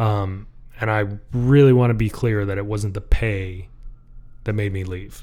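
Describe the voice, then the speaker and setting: With an American accent, a man speaks in a fairly low pitch and dark, mellow tone, leaving long, frequent pauses. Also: fairly even intonation, moderate pace. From Michigan. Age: 30s. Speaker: blacksmith. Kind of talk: casual interview chat.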